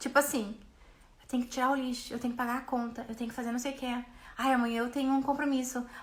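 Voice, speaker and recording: Her voice raised and projected, a woman speaks with a bright, sharp tone. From Brazil. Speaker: business mentor and coach. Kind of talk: live stream talk. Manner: fast; animated.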